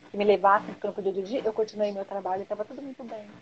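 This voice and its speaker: A woman talks at a very fast pace. Her voice is fairly high in pitch. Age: 50s. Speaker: hypnotherapist and holistic therapist. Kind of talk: interview. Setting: live video stream.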